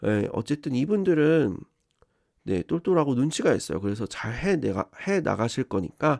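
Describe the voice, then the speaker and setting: On a very clean recording with a silent background and a dry, close sound with no echo, a man speaks at a fairly slow pace with very wide pitch swings. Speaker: tarot reader, hobbyist office worker. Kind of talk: tarot reading monologue.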